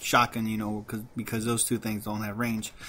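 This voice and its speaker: This man talks in a flat monotone at a medium pitch. Noticeable background noise runs behind him. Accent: slight Mexican. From Mexican heritage. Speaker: gaming commentator. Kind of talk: gameplay commentary. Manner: halting, repeats words.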